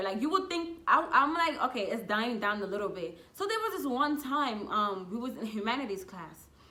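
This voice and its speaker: Amid noticeable background noise and audible room echo, a woman with a fairly high pitch speaks at a fairly quick pace with very wide pitch swings. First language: not English. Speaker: YouTuber. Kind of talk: casual storytelling. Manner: animated.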